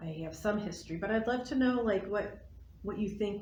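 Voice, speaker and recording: Audible room echo surrounds a woman as she speaks. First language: not English. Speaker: library board president. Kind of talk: casual chat.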